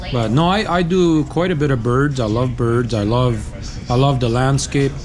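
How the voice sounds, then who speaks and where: Over noticeable background noise and audible room echo, a man at a medium pitch speaks at a moderate pace with very even loudness and ordinary pitch variation. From South America, German Mennonite community. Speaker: truck driver vlogger. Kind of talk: vlog narration; casual chat.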